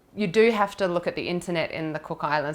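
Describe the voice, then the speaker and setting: A woman speaks with an Australian accent at a fairly low pitch. The recording is very clean, with a silent background. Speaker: video production business co-founder. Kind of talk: interview answer.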